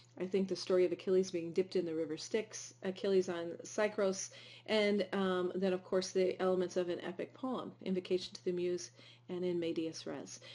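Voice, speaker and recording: A woman with a Midwestern accent speaks at a fairly quick pace in a medium-pitched voice with a dark, mellow tone and fairly even intonation. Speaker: teacher. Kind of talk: lecture. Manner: hesitant, many fillers.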